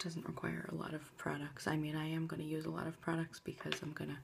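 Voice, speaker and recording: A soft-spoken woman. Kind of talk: ASMR makeup tutorial. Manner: soft-spoken, quiet.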